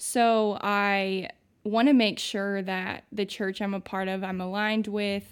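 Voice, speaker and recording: A woman speaks at medium pitch with an American accent, fairly slowly and in a flat monotone. The recording is very clean, with a silent background. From US Midwest, southern Indiana small town. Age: 20s. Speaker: recent Bible college graduate, young ministry worker. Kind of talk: casual interview chat.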